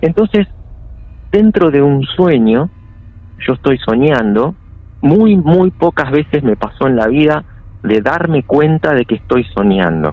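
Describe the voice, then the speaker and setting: A man with a Rioplatense accent speaks fairly slowly with long, frequent pauses, very wide pitch swings over a fairly high pitch, and very even loudness. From Buenos Aires, Argentina. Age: 40s. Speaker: caller sharing paranormal story. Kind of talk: personal testimony.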